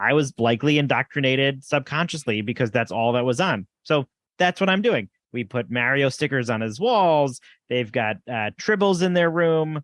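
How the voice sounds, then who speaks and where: A fairly high-pitched man with a New Jersey accent and lively intonation at a moderate pace, in a dry, close sound with no echo and a quiet background. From New Jersey, north-central. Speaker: podcast co-host, parent. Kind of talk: casual chat.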